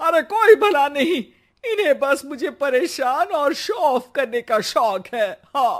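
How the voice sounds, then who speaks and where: A put-on character voice comes out high, shrill and loud, with very wide pitch swings. It moves at a fairly slow pace. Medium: cartoon. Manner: loud, shrill.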